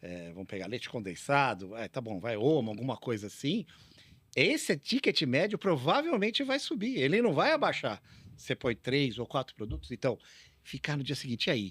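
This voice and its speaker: A man talks with a medium pitch. His voice moves in very wide pitch swings. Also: moderate pace. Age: 60s. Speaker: retail technology consultant. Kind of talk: podcast interview. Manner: casual, conversational.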